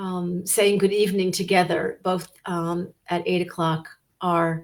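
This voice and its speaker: Her pitch at medium level and her intonation monotone and flat, a woman speaks at a fairly slow pace. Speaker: podcast host. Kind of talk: podcast interview host.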